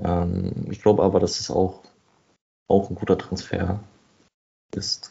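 In a very deep, low voice, a man talks at a very slow pace, somewhat breathy and flat in a monotone, with long, frequent pauses. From Berlin. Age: 20s. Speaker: football fan, podcast guest. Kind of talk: casual chat.

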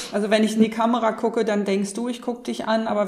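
Fairly quick delivery in a flat monotone, over noticeable background noise. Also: woman. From northern Germany. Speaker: podcast co-host. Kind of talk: podcast interview.

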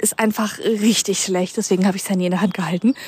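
Very fast speech comes from a somewhat breathy woman. The sound is dry and close, with no echo. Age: 30s. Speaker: podcast host. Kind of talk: casual monologue. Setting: outdoors, walking. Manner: rambling with fillers.

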